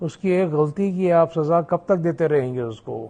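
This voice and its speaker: This is a man whose voice sits at a high pitch. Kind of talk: storytelling history talk.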